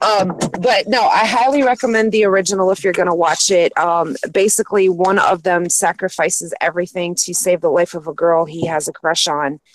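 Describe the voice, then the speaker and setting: A woman at a medium pitch, talking at a fairly quick pace with hardly any pauses and ordinary pitch variation, over noticeable background noise. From New York State, lived in Japan. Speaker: stream panelist. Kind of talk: casual chat. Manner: fast.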